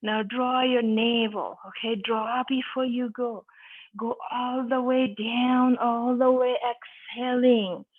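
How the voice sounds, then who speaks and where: A woman speaks in a high pitch with a calm tone. Her intonation is monotone and flat, and her pace is very slow. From Nepal. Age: 60s. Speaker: yoga instructor. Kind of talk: guided yoga class instruction. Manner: calm, encouraging.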